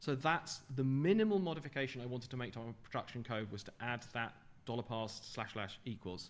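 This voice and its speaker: Audible room echo surrounds the recording. A man talks with ordinary pitch variation. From England, London. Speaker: software developer giving a conference talk. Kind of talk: technical conference talk. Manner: fast.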